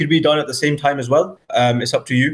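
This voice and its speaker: A man speaks at a fairly quick pace with a Scottish accent. His voice is somewhat breathy. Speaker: Urdu language teacher. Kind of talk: online language class. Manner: repeats words, hesitant fillers.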